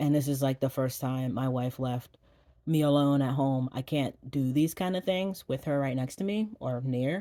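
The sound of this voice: Dark, mellow tone with fairly even intonation and a moderate pace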